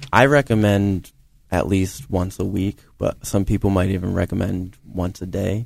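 Here is a man with a plain, everyday voice, pitched fairly low. He speaks at a moderate pace with fairly even intonation. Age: 20s. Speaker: digital marketing coordinator. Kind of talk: radio interview. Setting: studio.

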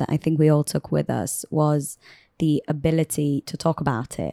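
Her voice is very deep and low, with a dark, mellow tone and fairly even intonation at a moderate pace. The woman's recording is very clean, silent in the background, and dry and close with no echo. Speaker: university student. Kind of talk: interview.

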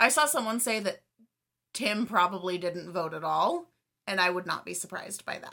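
With a bright, sharp tone and vocal fry, a woman speaks with lively intonation and big swings in loudness. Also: medium pitch for a woman, moderate pace. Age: 20s. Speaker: podcast co-host. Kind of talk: casual chat. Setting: home recording, separate rooms.

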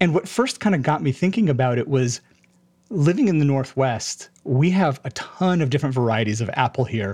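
Against a quiet background, a man talks at a fairly quick pace with a fairly high pitch and lively intonation. His voice is somewhat breathy and holds a very even loudness. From Hawaii (Honolulu). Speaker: podcast co-host and web developer. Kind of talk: casual interview chat.

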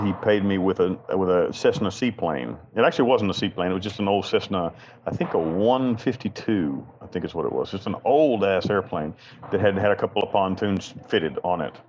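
Over noticeable background noise, someone with a Southern US accent speaks fairly quickly with ordinary pitch variation. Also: man. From US South, western North Carolina. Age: 40s. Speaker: prison inmate and chaplain. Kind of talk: interview.

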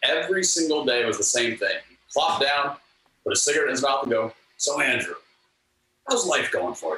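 Long, frequent pauses break up the man's speech. Otherwise he keeps a moderate pace. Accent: American. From US West, Sacramento. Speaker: music video director and author. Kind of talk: interview storytelling.

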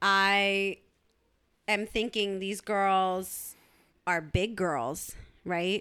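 On a very clean recording with a silent background, a woman speaks very slowly at medium pitch with long, frequent pauses, fairly even intonation and a bright, sharp tone. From US, Eritrean family. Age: 30s. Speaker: podcast co-host. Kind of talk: casual chat.

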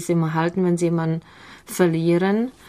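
A woman's fairly low voice with a Czech accent. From Czech Republic, near Prague. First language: Czech (speaking German). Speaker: mother of five living abroad. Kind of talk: radio interview. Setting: studio.

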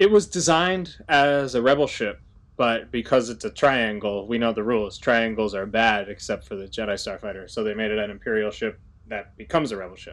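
In an unremarkable speaking voice, a man of medium pitch talks at a fairly quick pace with ordinary pitch variation and big swings in loudness over a quiet background. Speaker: podcast co-host. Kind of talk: casual chat.

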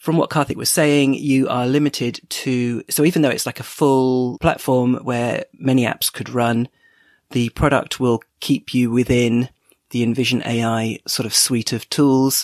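Here a man with a British accent speaks at a fairly slow pace and with fairly even intonation. The recording is very clean, with a silent background. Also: medium pitch for a man. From UK. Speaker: tech podcast host, listener contributor. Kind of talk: recorded voice message.

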